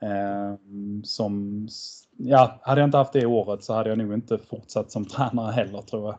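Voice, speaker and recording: Fairly low in pitch, a man's voice carries a dark, mellow tone and fairly even intonation. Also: moderate pace. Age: 30s. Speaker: floorball coach. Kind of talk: casual interview.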